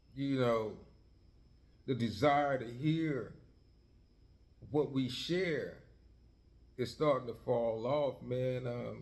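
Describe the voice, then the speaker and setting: Audible room echo surrounds a man who speaks at a very slow pace and medium pitch with ordinary pitch variation. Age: 60s. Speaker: podcast host, former gang member. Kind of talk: casual monologue. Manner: rambling with frequent fillers.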